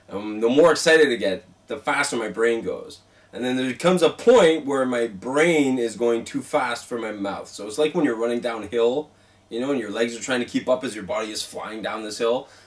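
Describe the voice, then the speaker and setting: The loudness swings widely. Noticeable background noise runs underneath. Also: man, medium pitch for a man, ordinary pitch variation. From Quebec, Montreal. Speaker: paranormal show host and founder. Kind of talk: casual interview. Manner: talks fast when excited; animated.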